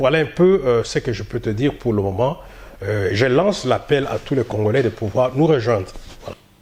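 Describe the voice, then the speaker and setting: Lively intonation marks a man's speech, heard through noticeable background noise. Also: medium pitch for a man, moderate pace. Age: 60s. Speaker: community association leader. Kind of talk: interview. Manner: halting, many hesitations.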